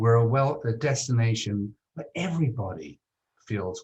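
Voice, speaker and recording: A man with an American accent speaks at a fairly slow pace and a fairly low pitch, somewhat breathy, with lively intonation. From Britain. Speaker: tourism marketing executive. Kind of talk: interview. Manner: hesitant, many fillers.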